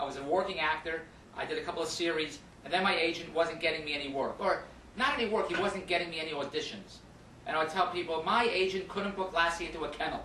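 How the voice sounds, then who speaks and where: A man with an American accent, energetic in tone, high in pitch with ordinary pitch variation, at a very fast pace over noticeable background noise. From Philadelphia. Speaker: actor and infomercial host. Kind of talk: radio interview answer. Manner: energetic, jokey.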